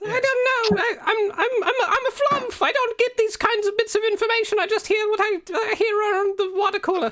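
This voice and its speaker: An extremely high, squeaky, put-on character voice with a nervous tone. It runs at a fairly quick pace with hardly any pauses. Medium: actual play. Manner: nervous, stammering.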